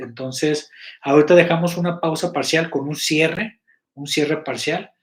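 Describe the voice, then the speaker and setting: The man's high voice comes through on a very clean recording, with a silent background. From Mexico, Guadalajara. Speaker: web series producer and live host. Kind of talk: live stream chat to members. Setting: live stream. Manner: halting, many fillers and restarts.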